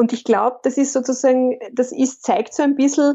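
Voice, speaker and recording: A woman with a Carinthian accent. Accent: Carinthian Austrian German. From Austria, Carinthia. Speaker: business consultant and coach. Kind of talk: interview.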